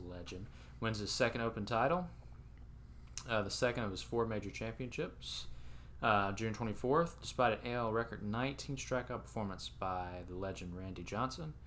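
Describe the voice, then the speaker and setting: A man's bright, sharp, fairly low-pitched voice with vocal fry, lively intonation and a moderate pace. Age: 20s. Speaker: sports podcast co-host. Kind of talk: casual chat.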